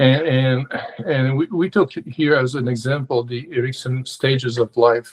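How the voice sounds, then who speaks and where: A man speaks at a fairly slow pace in a medium, somewhat breathy voice. His intonation is fairly even, and the sound is dry and close with no echo. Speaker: consultant and coach. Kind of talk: webinar presentation. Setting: video call webinar. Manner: halting, many fillers and repetitions.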